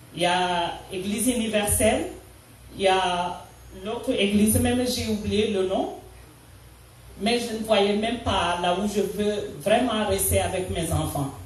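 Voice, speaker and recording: At a very slow pace with long, frequent pauses, the speaker talks in a Senegalese accent with ordinary pitch variation, amid noticeable background noise and audible room echo. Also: woman, medium pitch for a woman. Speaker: church member. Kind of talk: testimony. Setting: church. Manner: halting, with hesitations.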